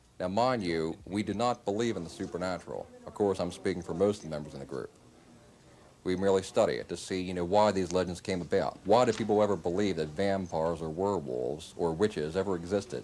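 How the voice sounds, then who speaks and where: A man speaks at a very fast pace with an American accent. His pitch is very deep and low, with ordinary variation. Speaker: horror fan society founder. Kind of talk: interview answer.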